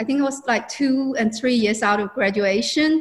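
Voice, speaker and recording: Ordinary pitch variation with a Chinese accent. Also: woman. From China. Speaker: businesswoman and mentor. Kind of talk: interview.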